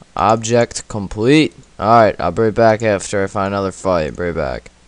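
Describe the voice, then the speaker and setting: The speaker has a plain, everyday voice and talks at a fairly slow pace. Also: man. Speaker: RuneScape player and gaming YouTuber. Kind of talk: live gameplay commentary, casual, with an angry rant mid-fight. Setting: at computer, recording gameplay. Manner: casual, filler-heavy, informal teen-style talk.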